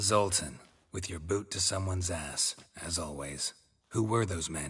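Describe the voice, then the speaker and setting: Against a quiet background, a man puts on a character voice, very deep and low, at a moderate pace. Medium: video game. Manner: laconic, low-key, deadpan.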